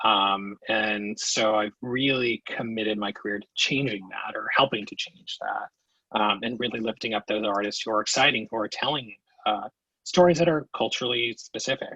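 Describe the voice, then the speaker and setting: Speaking at a moderate pace, a man has a medium pitch and ordinary pitch variation, in a dry, close sound with no echo. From New Jersey, born in Queens. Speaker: theater producing director. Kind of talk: podcast interview.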